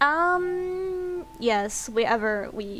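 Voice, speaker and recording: With music in the background, a woman with a German accent talks in a lively intonation. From Germany. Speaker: streamer and animator. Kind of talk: casual chat.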